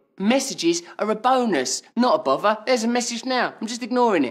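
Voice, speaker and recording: Music plays in the background as a man speaks at a fairly quick pace. His tone is playful. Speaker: comedian. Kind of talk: TV commercial read. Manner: comedic, playful. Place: home room.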